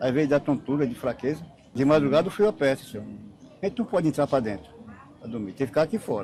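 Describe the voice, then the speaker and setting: Talking at a very fast pace yet with long, frequent pauses, a man uses a fairly high pitch and lively intonation. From Ipojuca, Pernambuco. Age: 60s. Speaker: patient's relative. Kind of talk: street interview. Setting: outdoors at night.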